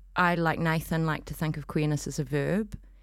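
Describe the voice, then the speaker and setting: In a very clean recording with a silent background, a woman speaks with a New Zealand accent in a flat, monotone delivery. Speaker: arts festival director and performance artist. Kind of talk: casual interview. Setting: studio.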